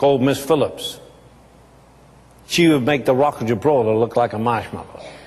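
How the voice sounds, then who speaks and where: Noticeable background noise sits behind a man with a fairly high pitch and ordinary pitch variation. He talks at a fairly quick pace but leaves long, frequent pauses. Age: 70s. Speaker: businessman. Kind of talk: testimony.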